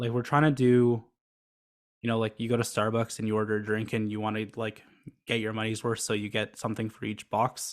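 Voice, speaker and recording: A man's medium-pitched voice at a fairly quick pace, monotone and flat, on a very clean recording with a silent background. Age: 20s. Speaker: startup founder. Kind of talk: podcast interview. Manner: flat, little inflection.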